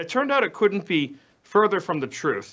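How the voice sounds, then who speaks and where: A man talks with an American accent in a bright, sharp tone. His pace is fairly quick. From Boston area, US Northeast. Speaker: political journalist. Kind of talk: news discussion.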